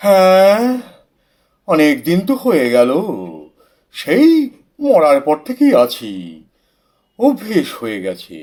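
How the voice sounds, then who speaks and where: A man puts on a character voice, high-pitched for a man, and speaks at a very slow pace. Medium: audio drama. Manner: dry, hesitant with hums.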